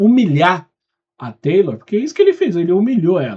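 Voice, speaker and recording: The voice has a dark, mellow tone. Its pitch swings very widely. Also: man. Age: 40s. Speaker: reaction youtuber. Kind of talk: casual reaction commentary. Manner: animated.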